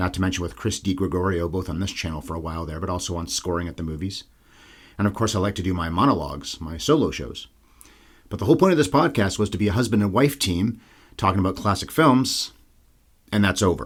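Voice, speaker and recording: In a very clean recording with a silent background, a man with a very deep, low pitch talks at a very fast pace. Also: lively intonation. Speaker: movie podcast host. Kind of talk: solo monologue. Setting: home recording space.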